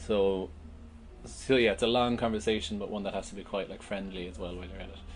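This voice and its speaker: In a Cork accent, a man with a fairly low pitch rushes along at a very fast pace, his loudness swinging widely and his pitch varying in an ordinary way amid audible room echo. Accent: Cork Irish. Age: 30s. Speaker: festival organiser. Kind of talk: casual chat.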